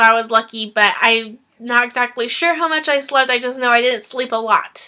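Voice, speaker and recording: Here a woman speaks with a high pitch. Her intonation stays fairly even. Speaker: booktuber. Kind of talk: casual vlog chat. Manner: halting, many fillers.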